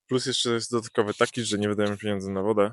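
The sound is dry and close, with no echo. The intonation stays monotone and flat. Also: man, quiet background. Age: 20s. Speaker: YouTuber. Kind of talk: casual vlog monologue. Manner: halting, many filler sounds.

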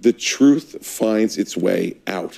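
The man's fairly low voice has a dark, mellow tone and fairly even intonation. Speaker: political commentator panelist. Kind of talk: panel discussion commentary. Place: studio.

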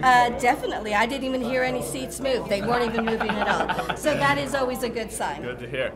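Over crowd noise in the background, a woman talks at a very fast pace with ordinary pitch variation and hardly any pauses. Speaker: theatre board member hosting. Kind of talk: interview questions, casual chat. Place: hall.

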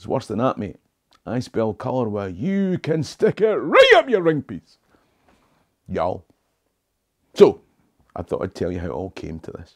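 Taking long, frequent pauses, a man with a Scottish accent speaks with big swings in loudness over a quiet background. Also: moderate pace. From Scotland. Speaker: history tour guide and video host; history tour guide, video host. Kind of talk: talking-head video monologue. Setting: small home office. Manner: fairly standard English, not broad dialect. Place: home room.

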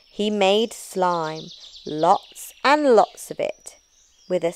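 The delivery is plain reading aloud, with lively intonation. Nothing much sounds behind it.

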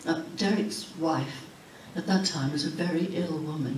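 Fairly even intonation comes through in a Yorkshire accent, with audible room echo and light background noise. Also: woman. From Huddersfield, Yorkshire, England. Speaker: author. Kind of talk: keynote speech. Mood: warm, nostalgic. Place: hall. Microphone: camera far.

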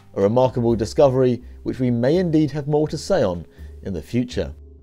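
Music plays in the background as a man talks at a very fast pace. His intonation is lively. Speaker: news presenter. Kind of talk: news narration.

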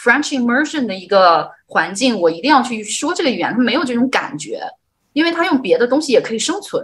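Speaking at a fairly quick pace, a woman uses a high pitch with very wide pitch swings. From northern China. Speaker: livestream host. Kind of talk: livestream interview. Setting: livestream. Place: home room. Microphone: video call.

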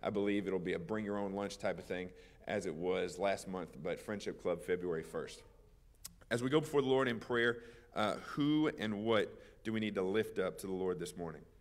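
There is audible room echo as a man with a fairly low pitch and lively intonation talks at a moderate pace. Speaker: pastor. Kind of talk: church announcements and prayer requests. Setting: church.

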